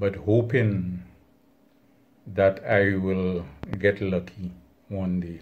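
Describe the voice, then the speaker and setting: Somewhat breathy and fairly low in pitch, a man speaks at a very slow pace. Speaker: hobbyist channel host. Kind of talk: casual vlog chat. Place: home room.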